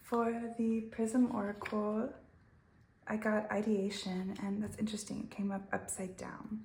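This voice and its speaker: Fairly slow, monotone speech with flat intonation from a woman with a fairly high pitch, over noticeable background noise. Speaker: tarot reader. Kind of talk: tarot reading. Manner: halting.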